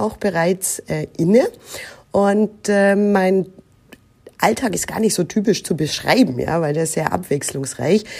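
A woman speaks at a medium pitch in a dark, mellow tone. Her pitch varies in an ordinary way. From Germany, Nuremberg (Franconia). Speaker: recruiting manager. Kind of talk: interview.

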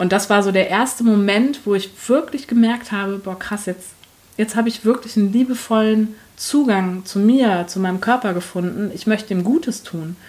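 Here a woman with an ordinary speaking voice talks at a fairly high pitch, a moderate pace and ordinary pitch variation. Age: 30s. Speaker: HR professional and coach. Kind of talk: interview.

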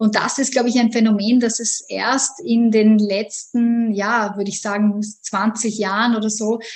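A somewhat breathy woman with an Austrian accent, fairly high in pitch, at a fairly slow pace. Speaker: economics lecturer. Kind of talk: interview. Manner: hesitant, many fillers.

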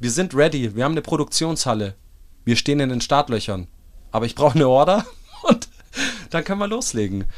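Talking at a very fast pace with long, frequent pauses, a man with a fairly high pitch uses an animated tone and very wide pitch swings. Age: 30s. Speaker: startup founder and CEO. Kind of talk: interview. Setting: mobile podcast studio at a trade fair.

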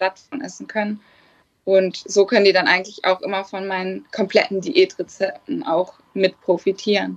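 With vocal fry and a medium pitch, a woman speaks at a moderate pace, her pitch varying in an ordinary way and her loudness swinging widely. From northern Germany, Hannover area. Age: 20s. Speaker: bikini fitness athlete. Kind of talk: casual chat.

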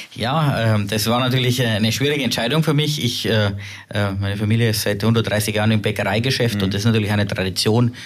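There is audible room echo as a man speaks at a fairly quick pace, medium in pitch, with fairly even intonation. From Upper Bavaria, Germany. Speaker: tech company co-CEO. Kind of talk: interview.

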